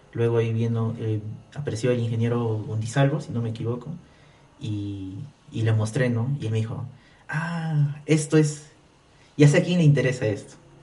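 A man with a dark, mellow, somewhat breathy voice at medium pitch speaks at a moderate pace with ordinary pitch variation and long, frequent pauses, in audible room echo. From Peru, Abancay (Apurímac, Andean region). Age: 20s. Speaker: technology entrepreneur. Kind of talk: casual interview.

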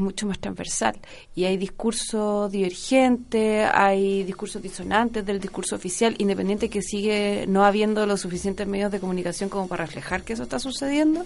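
The speaker has a Chilean accent, a moderate pace, and ordinary pitch variation. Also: woman. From southern Chile, Osorno. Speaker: journalist. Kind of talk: radio interview.

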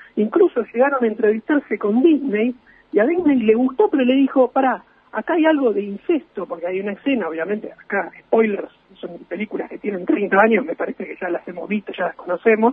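Speaking at a fairly quick pace, a man uses a high voice with lively intonation. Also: big swings in loudness. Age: 30s. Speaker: film enthusiast. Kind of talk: radio interview. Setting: remote call from home.

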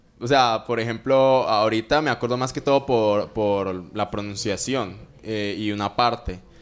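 A man with a fairly low voice, fairly even intonation and a fairly slow pace, amid noticeable background noise. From Colombia, Medellín. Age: 20s. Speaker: reggaeton singer. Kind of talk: interview.

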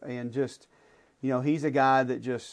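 A man with an Alabama accent talks in a monotone, flat intonation. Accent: Southern US (Alabama). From Birmingham, Alabama (Homewood). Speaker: college football analyst and sports radio host. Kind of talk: casual interview conversation. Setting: radio studio.

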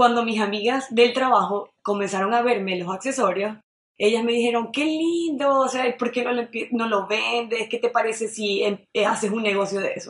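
A woman with an ordinary speaking voice talks at a fairly high pitch and a moderate pace, with ordinary pitch variation. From Venezuela, Maracaibo (Zulia). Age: 20s. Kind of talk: radio interview.

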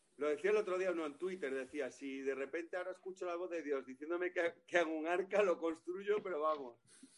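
Speaking at a very fast pace with hardly any pauses, a man has a high pitch. His pitch varies an ordinary amount. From Galicia. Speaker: comedian. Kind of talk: casual chat.

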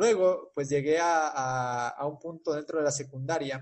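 A man talks at a moderate pace with a fairly high pitch. His voice is somewhat breathy and his intonation fairly even. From Ecuador. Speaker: civil engineer. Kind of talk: interview. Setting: video call.

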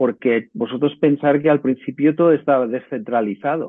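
This man has a plain, everyday voice, fairly high in pitch with ordinary pitch variation, and he speaks at a moderate pace. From Menorca, Spain. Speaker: tech entrepreneur. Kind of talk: course talk.

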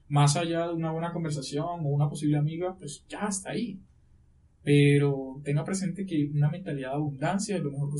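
A fairly high, somewhat breathy male voice at a fairly quick pace, with fairly even intonation. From Colombia, La Guajira. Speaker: lawyer. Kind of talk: podcast interview.

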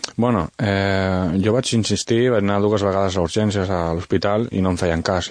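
This man has a plain, everyday voice. He speaks with a fairly low pitch and fairly even intonation. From Valencian Community (Vinaròs), raised in Catalonia. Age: 30s. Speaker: author and wheelchair user. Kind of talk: radio interview.

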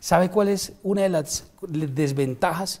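A man speaks with a dark, mellow tone. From Colombia, Ocaña, Norte de Santander. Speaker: head nurse and pro-life activist. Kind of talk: interview. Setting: barbershop. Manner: formal.

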